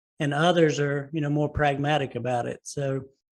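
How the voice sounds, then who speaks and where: Speaking with a Southern US accent, a man uses a fairly high pitch. His intonation is fairly even, and his pace is moderate. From US South. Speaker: podcast host. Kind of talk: interview. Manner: halting, many fillers and repeated words.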